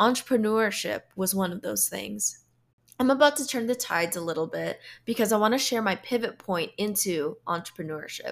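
An American-accented woman with vocal fry speaks at a medium pitch and moderate pace with lively intonation, in a very clean recording with a silent background. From Philippines, then US. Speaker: podcast host, professional speaker. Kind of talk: solo podcast monologue.

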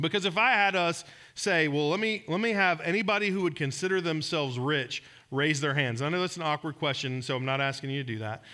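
A man with a Southern US accent, fairly quick, bright and sharp in tone, with very wide pitch swings, on a very clean recording with a silent background. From Georgia, US South. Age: 40s. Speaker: pastor. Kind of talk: sermon. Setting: church.

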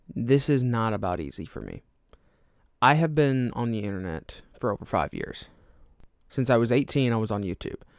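Against a silent background in a very clean recording, a man at a medium pitch speaks at a moderate pace, with big swings in loudness and long, frequent pauses. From Alabama, US South. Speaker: podcast host. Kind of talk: casual solo podcast monologue. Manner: rambling, casual, filler words.

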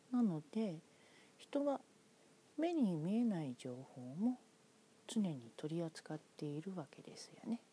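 Very slowly and with long, frequent pauses, a woman speaks in a dark, mellow, somewhat breathy voice at a fairly low pitch, her pitch swinging very widely. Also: big swings in loudness. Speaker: podcaster. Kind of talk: solo monologue.

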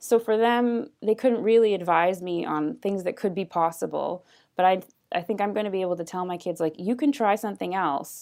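In a very clean recording, silent background, a woman with a normal speaking voice talks fairly quickly at a medium pitch with ordinary pitch variation. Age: 30s. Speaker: mortgage agent. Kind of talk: interview conversation.

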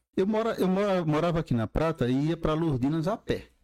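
Recorded very cleanly against a silent background, the dry, close sound has no echo, and the speech runs at a moderate pace. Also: man. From Brazil, Campina Grande, Paraíba. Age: 50s. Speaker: urologist and medical professor. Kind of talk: casual interview.

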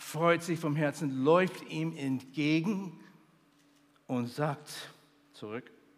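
Speaking at a very slow pace, a man uses a warm tone with ordinary pitch variation. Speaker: preacher, missionary theologian. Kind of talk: sermon. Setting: stage with audience at a youth conference. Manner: earnest, warm preaching delivery with emphatic repetition; builds to a fervent, celebratory pitch on joy and feasting.

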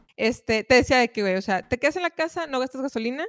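A woman speaks at a very fast pace with lively intonation. The recording is very clean with a silent background and a dry, close sound with no echo. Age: 20s. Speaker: rock musician. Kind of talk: casual chat.

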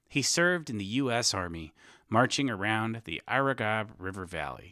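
A man speaks with lively intonation and a bright, sharp tone at a moderate pace. The recording is very clean, with a silent background. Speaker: author reading own story. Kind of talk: audiobook-style reading aloud of a comic satirical story.

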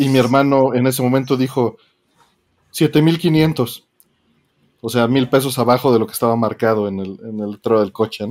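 Pausing often and at length, a man talks at a moderate pace in a medium pitch with ordinary pitch variation. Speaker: podcast co-host. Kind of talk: casual chat.

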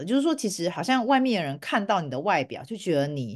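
Her pitch swings very widely. The woman speaks over a quiet background. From Taiwan. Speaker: podcast host, clinician. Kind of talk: casual conversation.

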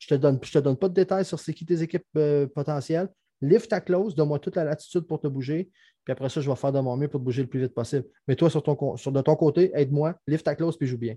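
Very fast and somewhat breathy, a man speaks in a dark, mellow tone at a fairly high pitch. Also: ordinary pitch variation, quiet background. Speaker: hockey podcast co-host. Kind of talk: casual chat.

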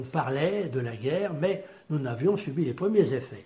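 A man's very slow voice with very wide swings in pitch. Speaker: grandfather sharing war memories. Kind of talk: testimony.

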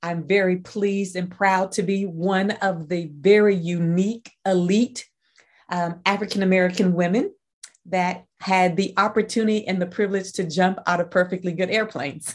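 A woman with a plain, everyday voice, medium pitch, fairly even intonation and a moderate pace. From US, Army brat, moved often; North Carolina born. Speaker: leadership consultant and nonprofit director. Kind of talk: casual interview.

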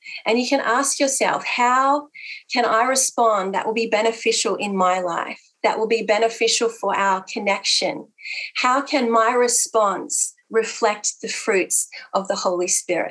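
A woman with a fairly high pitch and an Australian accent, ordinary pitch variation, and a fairly slow pace. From Australia (Italian heritage). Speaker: pastor and counsellor. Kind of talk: church women's gathering talk.

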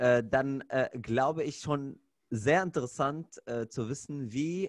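A man's voice shows ordinary pitch variation, the sound dry and close with no echo and the background quiet. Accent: Arabic. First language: Arabic (speaking German). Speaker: podcast host, fitness trainer. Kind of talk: casual chat.

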